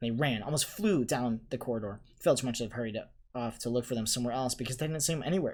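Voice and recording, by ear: Someone reads aloud in a natural voice. Their pitch shifts in an ordinary way.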